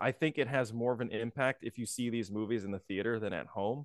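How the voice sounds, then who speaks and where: In a normal speaking voice, a man talks at a medium pitch and a fairly quick pace with ordinary pitch variation, recorded with a dry, close sound with no echo against a quiet background. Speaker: podcast co-host. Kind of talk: casual chat.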